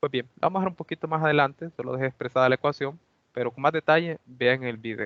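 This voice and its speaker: Talking at a fairly quick pace, a man has a normal speaking voice with a fairly high pitch and ordinary pitch variation. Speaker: university lab instructor. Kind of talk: lecture.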